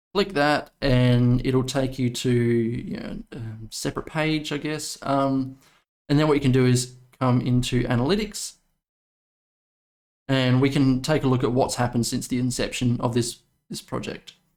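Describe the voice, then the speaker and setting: At a moderate pace, a man with an Australian accent speaks with ordinary pitch variation and long, frequent pauses. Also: medium pitch for a man. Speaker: crypto YouTuber. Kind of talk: video commentary. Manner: casual, many fillers.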